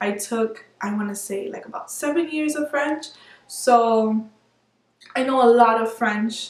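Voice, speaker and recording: A woman's fairly high voice with a Spanish accent and ordinary pitch variation. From Miami, Florida. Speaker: beauty vlogger. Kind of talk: casual vlog monologue.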